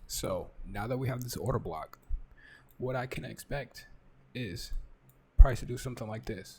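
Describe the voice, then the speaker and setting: A man whispers at a moderate pace, taking long, frequent pauses. His loudness swings widely. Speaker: trading educator. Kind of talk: live market analysis. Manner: whispering; casual. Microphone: close to mic, may sound quiet.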